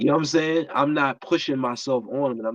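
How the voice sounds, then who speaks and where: A man speaks with a New York accent. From New York, Brooklyn. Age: 50s. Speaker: barber. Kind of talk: casual interview.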